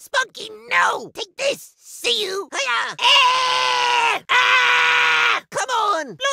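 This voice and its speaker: Someone is shouting in a cartoonish character voice. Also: man. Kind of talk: video game voice lines. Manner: polite, mild, easily worried.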